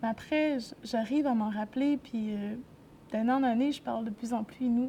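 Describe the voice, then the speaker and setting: Moderate-paced speech from a woman, fairly high in pitch, her intonation fairly even. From Quebec, grew up in a city. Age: 20s. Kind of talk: interview testimony. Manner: halting, many hesitations.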